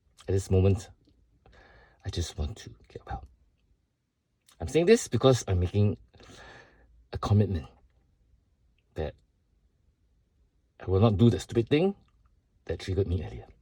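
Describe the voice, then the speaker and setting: A man's dark, mellow voice, fairly low in pitch, with vocal fry, lively intonation, big swings in loudness and long, frequent pauses. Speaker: vlogger sharing personal struggles. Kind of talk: personal video statement. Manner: slow.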